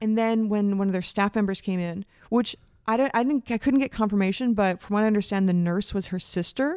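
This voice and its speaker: An ordinary speaking voice at a fairly quick pace, with ordinary pitch variation and a dry, close sound with no echo. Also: woman, medium pitch for a woman. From Canada. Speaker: podcast co-host. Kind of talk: casual chat.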